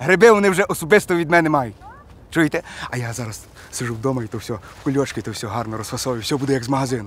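Lively intonation and big swings in loudness come through a dry, echo-free sound with light background noise. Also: man. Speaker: comic character. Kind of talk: acted comedy dialogue, phone call. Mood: exasperated, swearing, boastful. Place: forest.

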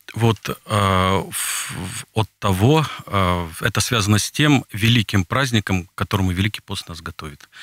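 Against a quiet background, a man with a fairly low pitch speaks with ordinary pitch variation, and the sound is dry with no echo. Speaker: Orthodox priest. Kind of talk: radio interview. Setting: studio. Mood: calm, explanatory. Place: studio. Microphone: studio mic.

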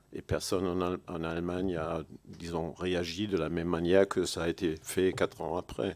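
At a moderate pace, a man speaks in a German accent with very deep, low pitch and monotone, flat intonation. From Germany. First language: German (speaking French). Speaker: historian; panelist. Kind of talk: panel discussion. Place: hall. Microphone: podium.

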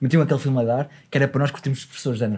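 Against a quiet background, a man with a dark, mellow tone talks at a very fast pace. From Gondomar, Portugal. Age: 20s. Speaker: podcast host. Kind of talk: casual podcast conversation. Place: studio. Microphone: studio mic.

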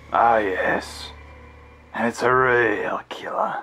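Speaking slowly in a cartoonish character voice, a man uses a medium pitch with a bright, sharp tone and a slightly husky edge. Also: ordinary pitch variation.

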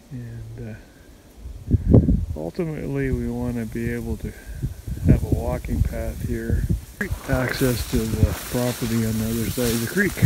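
Long, frequent pauses break up the speech. The sound is dry with no echo, under loud background noise. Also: moderate pace. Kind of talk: casual vlog chat. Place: open country. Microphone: phone near.

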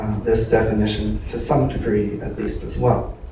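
Audible room echo and light background noise surround a man's voice. He speaks at a fairly slow pace with ordinary pitch variation. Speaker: lecturer. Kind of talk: lecture. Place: hall.

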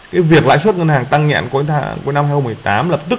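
Against noticeable background noise, a man speaks at a moderate pace in a fairly high voice with lively intonation. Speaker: investment channel host. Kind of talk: presentation. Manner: frequent filler pauses.

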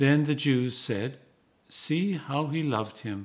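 A man's fairly high-pitched voice, somewhat breathy. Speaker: Anglican priest and canon. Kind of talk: scripture reading. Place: home room. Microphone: phone near.

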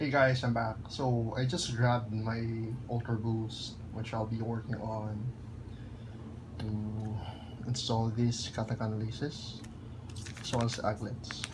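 A man at a fairly slow pace, with long, frequent pauses and noticeable background noise. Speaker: sneaker vlogger. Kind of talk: casual unboxing commentary. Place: office. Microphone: phone near.

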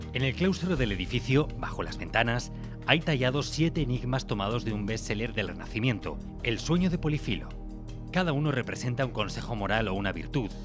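Music plays in the background. Over it, a man speaks at a fairly quick pace with lively intonation. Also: medium pitch for a man. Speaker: narrator. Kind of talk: documentary narration.

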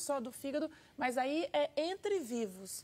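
Lively intonation in a woman's high voice. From Brazil. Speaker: hepatologist. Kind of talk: TV interview, answering medical questions. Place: studio. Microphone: lapel.

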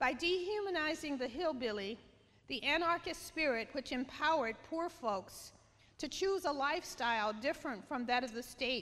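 Her high-pitched voice carries the woman's words at a moderate pace. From Kentucky. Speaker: writer and public intellectual. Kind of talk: keynote speech reading from an essay. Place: stage. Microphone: podium.

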